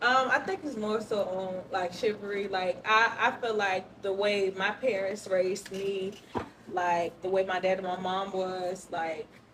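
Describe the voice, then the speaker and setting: Speaking fairly slowly at a medium pitch, a woman keeps her intonation fairly even while noticeable background noise plays behind her. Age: young. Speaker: single participant in group discussion. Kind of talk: casual group discussion.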